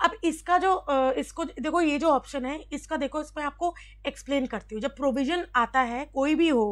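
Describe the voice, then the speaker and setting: A woman's high voice with lively intonation at a moderate pace, in a very clean recording with a silent background. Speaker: exam prep teacher on labour law. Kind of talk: tutorial. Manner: halting, with many fillers; Hindi-English code-switching.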